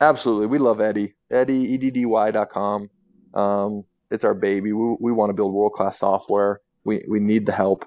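A man with an American accent, fairly low in pitch and dark, mellow in tone, at a fairly quick pace against a quiet background. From Utah. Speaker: former pro basketball player and company co-founder. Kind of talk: interview.

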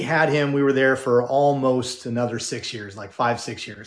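In a General American accent, this is a normal speaking voice at a moderate pace. The background is quiet. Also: man. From Southern California. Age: 50s. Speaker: former pastor and personal development speaker. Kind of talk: interview.

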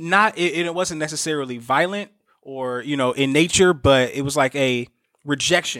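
In a plain, everyday voice, a man with an American accent talks at a moderate pace. His pitch is fairly high, with ordinary variation. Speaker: podcast co-host. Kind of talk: casual chat.

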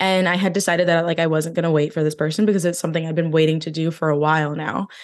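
Against a quiet background, a woman with an American accent talks at a very fast pace with a fairly low pitch. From New Jersey. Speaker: podcast host and digital nomad. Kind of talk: casual chat.

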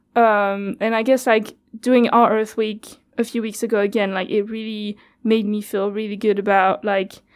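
The speaker has a French accent and talks at a moderate pace in a monotone, flat intonation. The recording is very clean, with a silent background. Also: woman. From France. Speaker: community radio worker. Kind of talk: interview. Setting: studio.

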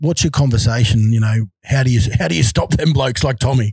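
A man with an Australian accent speaks at a fairly quick pace in a dark, mellow, somewhat breathy tone with ordinary pitch variation. The sound is dry and close, with no echo. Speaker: podcast host, former rugby league player. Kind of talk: casual interview. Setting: video call.

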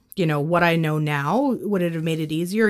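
On a very clean recording with a silent background, a woman with a normal speaking voice and a Canadian accent speaks at a fairly low pitch with ordinary pitch variation. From Canada, northwestern Ontario (Thunder Bay). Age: 30s. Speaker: business owner. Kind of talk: interview.

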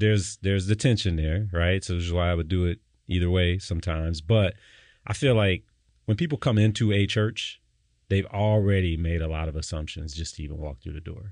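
A man with an American accent speaks at a fairly quick pace in a very deep, low voice with ordinary pitch variation against a quiet background. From Detroit, US. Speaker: pastor. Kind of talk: casual chat.

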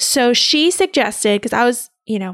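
A woman with an ordinary speaking voice talks at a moderate pace with lively intonation, recorded dry and close with no echo against a very clean, silent background. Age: 30s. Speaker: podcast host and labor nurse. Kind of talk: solo podcast, personal birth story. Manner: casual, conversational with laughs.

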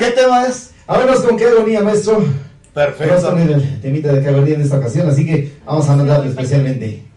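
Noticeable background noise sits behind the recording. A man speaks at a fairly high pitch with very wide pitch swings. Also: moderate pace. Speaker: singer. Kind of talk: casual radio interview. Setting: radio studio.

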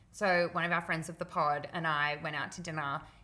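Speaking in an Australian accent, a woman has a fairly low pitch and a bright, sharp tone. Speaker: podcast co-host. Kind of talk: casual chat.

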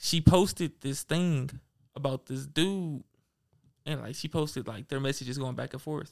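At a moderate pace, a man with a normal speaking voice talks at a fairly high pitch and with ordinary pitch variation, his loudness swinging widely in a dry, close sound with no echo. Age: young. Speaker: podcast co-host. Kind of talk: casual chat.

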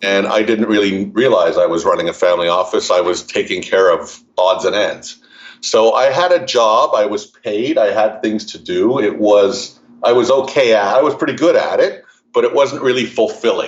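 A man with a Montreal accent, at a moderate pace. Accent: Canadian English, Montreal. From Montreal, Canada. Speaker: family legacy advisor. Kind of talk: interview, explanatory conversation.

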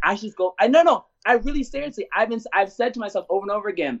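A man with an American accent, passionate in tone, with lively intonation at a very fast pace. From Washington DC. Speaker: theater artistic director. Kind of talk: interview.

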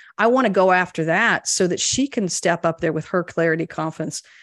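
A woman with a normal speaking voice talks at a fairly quick pace and a medium pitch. The sound is dry and close with no echo, over a quiet background. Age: 50s. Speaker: leadership coach. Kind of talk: interview conversation.

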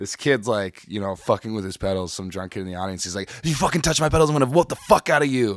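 In a very clean recording with a silent background, a man with an American accent talks very fast with hardly any pauses, his fairly low voice lively in intonation and swinging widely in loudness. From US Midwest (Chicago). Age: 20s. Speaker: guitarist and producer. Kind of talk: casual chat.

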